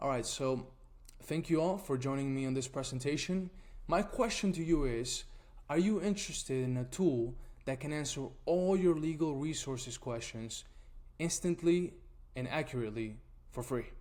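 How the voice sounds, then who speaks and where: A man with an Argentine accent speaks at a moderate pace, with a fairly high pitch and ordinary pitch variation. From Argentina. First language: Spanish. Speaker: nonprofit tool founder presenting. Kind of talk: webinar presentation.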